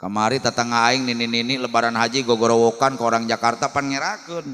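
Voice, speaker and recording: A man at medium pitch, very fast pace and with a bright, sharp tone. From West Java, Sundanese (Cimande, Bogor). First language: Sundanese (speaking Indonesian). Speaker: Islamic preacher. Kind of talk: humorous sermon. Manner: animated.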